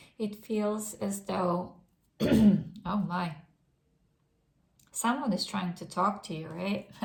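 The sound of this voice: A hoarse, raspy put-on character voice at a very slow pace, with long, frequent pauses and big swings in loudness. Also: woman, medium pitch for a woman.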